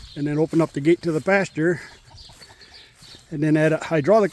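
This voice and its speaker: A man's relaxed tone with ordinary pitch variation and a dry, close sound, no echo. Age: 60s. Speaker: retired farmer. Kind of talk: casual vlog narration. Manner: relaxed, conversational.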